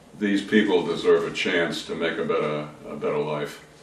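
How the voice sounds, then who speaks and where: There's a noticeable hum of background noise. Through it, a man talks fairly quickly. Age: 70s. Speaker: author and depression survivor. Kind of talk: interview. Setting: video interview.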